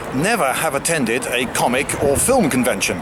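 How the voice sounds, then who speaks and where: A man speaks over noticeable background noise. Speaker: video presenter. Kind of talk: casual vlog with street interviews.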